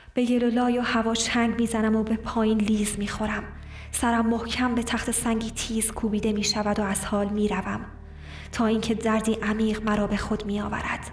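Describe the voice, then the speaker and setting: Amid noticeable background noise, a woman with a fairly high pitch speaks at a moderate pace in an intense tone, with monotone, flat intonation and very even loudness. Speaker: audiobook narrator. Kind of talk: literary audiobook reading, dramatic first-person monologue of a hunted woman. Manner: intense, brooding, sorrowful.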